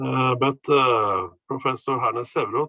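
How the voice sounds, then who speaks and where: Speaking at a very slow pace, a man talks with a Norwegian accent. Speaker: professor. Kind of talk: presentation. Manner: halting.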